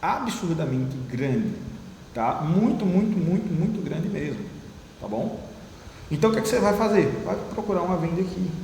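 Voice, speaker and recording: Noticeable background noise and audible room echo behind a man's high-pitched voice, lively intonation, moderate pace, and long, frequent pauses. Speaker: trading teacher. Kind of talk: one-on-one trading lesson.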